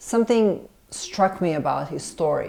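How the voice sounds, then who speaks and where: A woman with a Serbian accent speaks in a dark, mellow tone. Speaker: film director and screenwriter. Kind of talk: interview. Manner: hesitant, many fillers and restarts.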